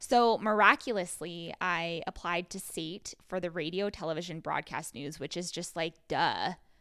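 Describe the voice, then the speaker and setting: A woman talks at a moderate pace with hardly any pauses, her fairly low pitch showing ordinary variation and a bright, sharp tone. Her loudness swings widely on a very clean recording with a silent background. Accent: Western Canadian. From Canada, rural Alberta. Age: 30s. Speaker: podcast co-host. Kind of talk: casual chat.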